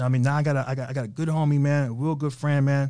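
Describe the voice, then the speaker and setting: With an American accent and a dark, mellow tone, the speaker talks at a very fast pace with fairly even intonation. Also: man. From New York, Haitian family. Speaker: rental car entrepreneur. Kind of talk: interview. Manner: casual.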